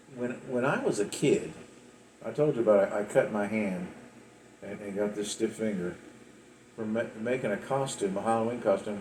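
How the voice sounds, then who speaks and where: A man speaks in an Appalachian accent at a fairly low pitch and moderate pace. His intonation stays fairly even, broken by long, frequent pauses. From West Virginia. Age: 60s. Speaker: storyteller recounting his life. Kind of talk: personal life story monologue. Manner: halting, many repeats and fillers.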